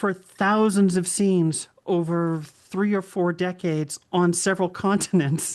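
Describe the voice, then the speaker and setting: With an American accent and a normal speaking voice, a woman talks at a medium pitch and a fairly slow pace over a quiet background. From Boston area. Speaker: author and former first responder. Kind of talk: interview answer.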